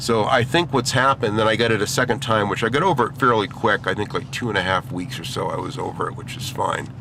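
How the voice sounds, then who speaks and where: Talking at a very fast pace with hardly any pauses, a man with an American accent and a medium-pitched voice comes through over noticeable background noise. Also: ordinary pitch variation. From Maine, US. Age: 60s. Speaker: gaming vlogger. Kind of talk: casual vlog monologue. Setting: in a car, driving.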